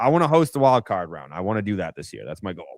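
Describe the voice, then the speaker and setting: A man talks with an American accent at a fairly quick pace. His pitch is medium. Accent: Boston accent, mostly dropped. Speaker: sports podcast host. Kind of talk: casual live-stream chat. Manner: casual, filler-heavy.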